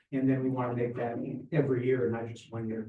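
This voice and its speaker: Audible room echo surrounds a man's voice. He speaks at a medium pitch with monotone, flat intonation. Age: 70s. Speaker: Rotary club member. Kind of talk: club meeting announcements. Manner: casual.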